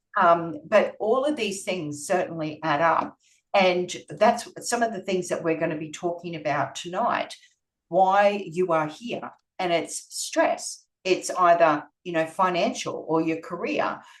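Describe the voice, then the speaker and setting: A woman with an Australian accent, medium pitch and ordinary pitch variation, at a fairly slow pace. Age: 50s. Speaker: nutritional therapist. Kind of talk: presentation.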